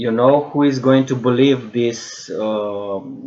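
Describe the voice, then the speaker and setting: A man talks in a Romanian accent at medium pitch. His pitch varies in an ordinary way. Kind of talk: monologue video lecture. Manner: halting, many fillers and repetitions.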